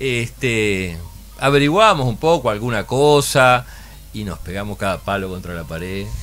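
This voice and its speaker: Over background music, a man with a fairly low pitch speaks at a fairly slow pace with lively intonation. His loudness swings widely. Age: 60s. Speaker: puzzle company founder. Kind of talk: radio interview. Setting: radio studio with camera. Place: studio. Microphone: studio mic.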